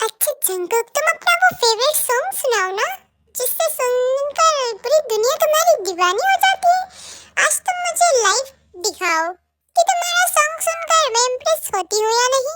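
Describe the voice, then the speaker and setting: Using a put-on character voice, a woman squeaks at an extremely high pitch with very wide pitch swings. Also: moderate pace. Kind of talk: emotional fan-fiction drama. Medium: audio drama.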